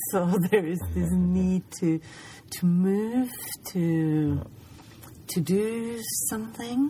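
Over noticeable background noise, a woman speaks at a very slow pace with long, frequent pauses. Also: medium pitch for a woman, ordinary pitch variation. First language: German. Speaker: podcast host. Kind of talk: casual chat. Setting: lying in a parked van at night.

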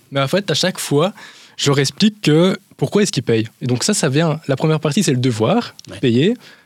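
A man with a fairly high pitch speaks at a moderate pace, his intonation lively and his voice somewhat breathy. The sound is dry and close, with no echo. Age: 20s. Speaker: business advisor. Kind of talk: interview answers. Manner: halting.

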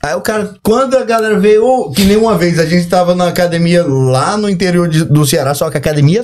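This man's voice sits at a high pitch. His intonation is lively. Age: 30s. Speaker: bodybuilder. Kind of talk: casual chat. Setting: studio.

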